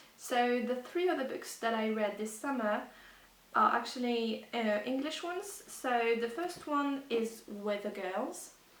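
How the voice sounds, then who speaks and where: Over noticeable background noise, a woman with a high pitch speaks fairly slowly with lively intonation. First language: not English. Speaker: book vlogger. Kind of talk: casual talk to camera. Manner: hesitant.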